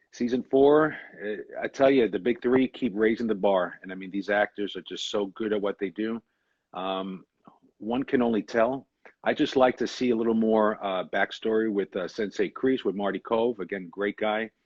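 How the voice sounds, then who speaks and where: With a New York accent, a man speaks at a moderate pace. His pitch is fairly low and his intonation fairly even. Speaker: actor. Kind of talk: interview.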